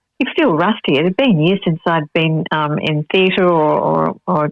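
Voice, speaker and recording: A woman with an Australian accent speaks at a fairly low pitch, with ordinary pitch variation, very even loudness and hardly any pauses. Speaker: actress and Pilates teacher. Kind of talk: interview.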